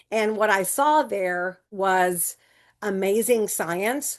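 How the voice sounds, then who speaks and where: Against a quiet background, a woman with an ordinary speaking voice talks at medium pitch with ordinary pitch variation. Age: 60s. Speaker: entrepreneur, sales presenter. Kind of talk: sales pitch. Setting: group call. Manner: conversational with fillers.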